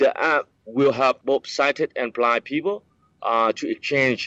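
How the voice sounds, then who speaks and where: At a fairly slow pace, a man with a Vietnamese accent talks at a medium pitch. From Vietnam, countryside east of Saigon. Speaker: director of a center for the blind. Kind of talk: interview. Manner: halting.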